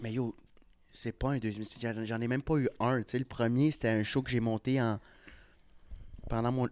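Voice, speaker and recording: A man speaks at a medium pitch in a flat, monotone delivery. The recording is very clean with a silent background and a dry, close sound with no echo. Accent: Ontario. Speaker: comedian. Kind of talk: casual chat.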